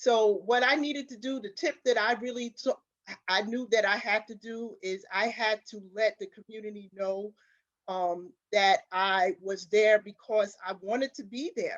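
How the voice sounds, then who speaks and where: A woman in a New York accent speaks at a fairly slow pace with a fairly high pitch and ordinary pitch variation. Her loudness swings widely, and the sound is dry and close with no echo. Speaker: community advocate panelist. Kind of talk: panel discussion.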